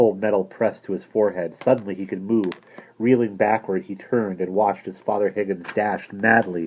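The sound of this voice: Fairly even intonation in an unforced reading voice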